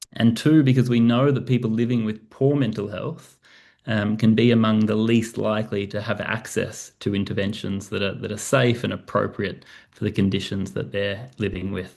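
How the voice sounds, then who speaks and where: A man with an Australian accent, medium in pitch, with fairly even intonation. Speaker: professor. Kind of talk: presentation. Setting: video call. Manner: fast.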